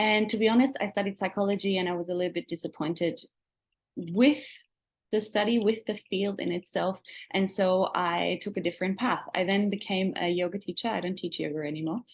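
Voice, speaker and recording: Fairly quick woman's voice at medium pitch, slight Australian accent, ordinary pitch variation. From Germany. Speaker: essential oils seller. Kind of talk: webinar presentation. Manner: enthusiastic.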